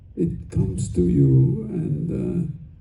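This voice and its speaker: A man's voice with very wide pitch swings, audible room echo and music in the background. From Hungary. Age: 80s+. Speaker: film director. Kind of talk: convention panel Q&A. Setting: stage with audience. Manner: halting.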